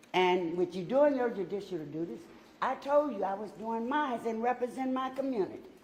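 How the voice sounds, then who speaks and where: There is audible room echo as a woman talks at a moderate pace. Her fairly high voice has lively intonation. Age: 60s. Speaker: city council member. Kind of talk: statement at council meeting. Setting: council chamber. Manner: emotional.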